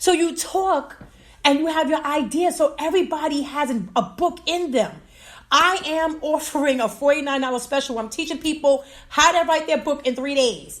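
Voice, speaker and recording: In a very clean recording with a silent background, a woman with an American accent sounds animated and enthusiastic, her high voice showing ordinary pitch variation. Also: moderate pace. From New York. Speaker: podcast host and self-publishing coach. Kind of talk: live radio/podcast stream with audience chat. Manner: animated, enthusiastic.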